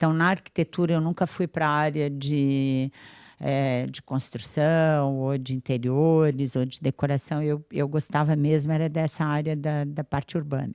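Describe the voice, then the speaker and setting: This woman has a very deep, low pitch and fairly even intonation. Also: fairly slow pace. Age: 60s. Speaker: businesswoman and architect. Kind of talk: interview.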